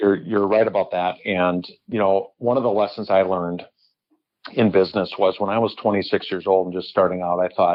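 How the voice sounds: A low-pitched man with an American accent, fairly quick in pace, his intonation fairly even.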